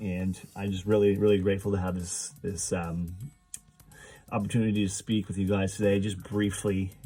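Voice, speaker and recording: A man at a moderate pace with a fairly low pitch, a dark, mellow tone and flat, monotone intonation. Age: 30s. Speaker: person in recovery sharing story. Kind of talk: testimony. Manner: halting.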